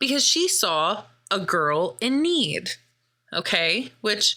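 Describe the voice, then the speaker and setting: This woman's voice has a bright, sharp tone. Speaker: podcast host. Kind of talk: film review recap. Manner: animated.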